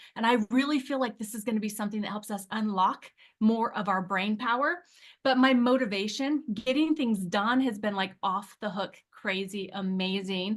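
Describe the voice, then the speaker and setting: A woman's fairly high, somewhat breathy voice with an animated tone, ordinary pitch variation and a moderate pace. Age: 50s. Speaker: testimonial speaker on weight-loss product. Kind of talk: testimony.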